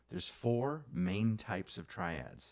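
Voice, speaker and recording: A man is speaking. Music plays in the background. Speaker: music teacher. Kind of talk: music theory lesson. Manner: casual, conversational.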